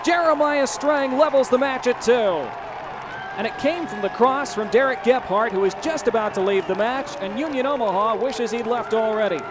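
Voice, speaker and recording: An excited man speaks with an extremely high pitch and lively intonation. Noticeable background noise runs underneath. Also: moderate pace. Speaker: soccer commentator. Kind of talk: live soccer match commentary. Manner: excited, rising intensity at goals.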